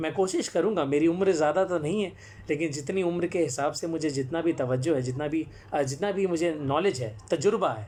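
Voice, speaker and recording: Ordinary pitch variation in a man's fairly high-pitched speech. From Jamshedpur, Jharkhand, eastern India. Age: 20s. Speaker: actor and storyteller. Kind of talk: live-stream talk. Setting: live social media broadcast. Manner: frequent hesitations.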